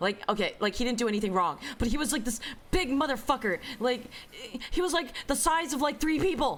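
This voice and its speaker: The tone is animated. The speech carries an American accent. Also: woman, high pitch for a woman, lively intonation, fairly quick pace. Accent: Bay Area accent, comes out strongly at times. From US West Coast, San Francisco Bay Area. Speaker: streamer. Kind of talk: casual chat. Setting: live stream. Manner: fast.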